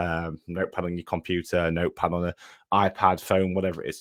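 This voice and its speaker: Recorded with a dry, close sound and no echo, a man speaks with an East Midlands accent. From English Midlands, between Nottinghamshire and Derbyshire. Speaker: online fitness business coach. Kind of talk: live online workshop. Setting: livestream. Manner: fast; casual, filler-heavy.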